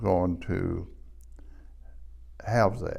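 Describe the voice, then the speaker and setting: A man with an Appalachian accent, vocal fry and ordinary pitch variation, with audible room echo. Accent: Appalachian Southern US. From US Appalachia, southwest Virginia (Wise County). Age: 80s+. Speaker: retired economic development director, lecturer. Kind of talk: lecture. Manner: formal.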